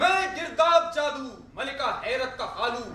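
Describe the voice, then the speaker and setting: Over noticeable background noise, a man speaks in a raised, projected voice with lively intonation. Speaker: dastango, live Urdu storyteller. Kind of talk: dastangoi live storytelling performance of a classical Urdu tale. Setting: live event in a university hall with audience. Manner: dramatic storytelling delivery.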